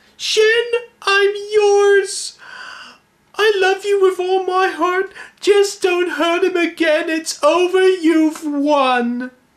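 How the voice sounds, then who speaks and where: A man at a very slow pace with an extremely high pitch. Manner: pleading, resigned.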